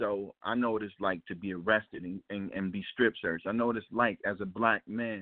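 Here a man talks at a fairly quick pace with hardly any pauses. His fairly low voice keeps a fairly even intonation. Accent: American. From Ferguson, Missouri (St. Louis area). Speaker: jazz trumpeter. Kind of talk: interview. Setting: phone call. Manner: halting.

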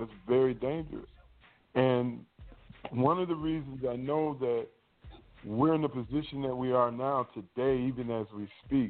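At a moderate pace and medium pitch, a man speaks in a plain, everyday voice. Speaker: minister. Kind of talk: panel discussion on scripture. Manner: excitable.

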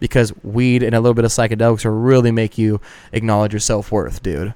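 The man's pitch is medium. He talks very fast. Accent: Southwestern US. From Arizona, Avondale. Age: 20s. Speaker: comedian. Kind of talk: casual chat.

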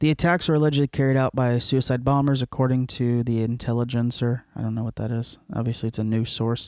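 This man talks at a very fast pace with hardly any pauses, in an American accent. His pitch sits in the medium range and his intonation is fairly even. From Florida, Cuban family. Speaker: podcast co-host. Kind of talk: casual chat.

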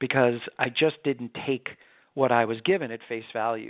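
A man with an American accent has an unremarkable speaking voice. He talks at a moderate pace with ordinary pitch variation. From New York. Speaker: pediatrician. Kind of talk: interview.

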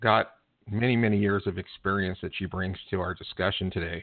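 In a plain, everyday voice, a man talks at a fairly low pitch with fairly even intonation. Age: 60s. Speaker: book publisher. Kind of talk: guest introduction.

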